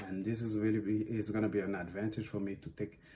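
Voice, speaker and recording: A man speaks at a moderate pace in a fairly low pitch. His delivery is somewhat breathy. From West Africa (Guinea, Senegal) and Belgium. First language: Susu / French. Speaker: dance artist. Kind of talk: interview monologue. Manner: halting, many fillers.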